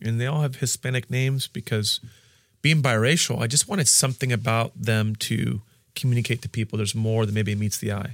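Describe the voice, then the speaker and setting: At a fairly quick pace and with ordinary pitch variation, the voice comes through as a dry, close sound with no echo on a very clean recording with a silent background. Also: man, medium pitch for a man. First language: Spanish. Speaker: pastor. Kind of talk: interview. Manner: halting.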